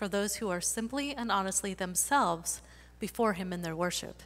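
A woman speaks at a moderate pace with ordinary pitch variation. Her tone is bright and sharp, touched by vocal fry. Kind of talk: church welcome and scripture reading. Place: church.

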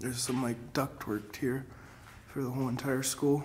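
Over light background noise, a man speaks at a fairly slow pace in a somewhat breathy voice with monotone, flat intonation. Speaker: urban explorer host. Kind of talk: casual vlog commentary. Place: hall. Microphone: phone near.

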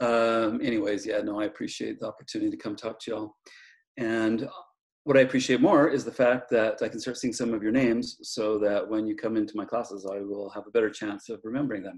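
Here a man talks at a very fast pace. His intonation stays fairly even. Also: quiet background. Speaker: guest professor. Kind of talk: casual lecture intro. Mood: joking, friendly. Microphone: video call.

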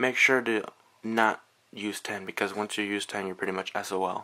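A man's fairly low voice with vocal fry, a bright, sharp tone and a moderate pace. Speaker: tech tutorial youtuber. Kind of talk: tutorial. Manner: casual, informal.

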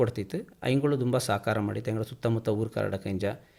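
In a very clean recording with a silent background, a man uses a normal speaking voice at a medium pitch with fairly even intonation. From Kodagu, Karnataka. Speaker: sports festival committee chairman. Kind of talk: radio interview.

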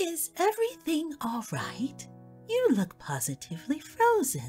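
Over clear music in the background, a woman uses a put-on character voice at a fairly slow pace. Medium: audio drama. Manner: warm, soothing.

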